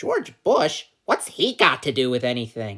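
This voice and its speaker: A female-sounding put-on character voice at low-to-middle pitch moves at a moderate pace. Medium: solo performance. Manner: naive, earnest.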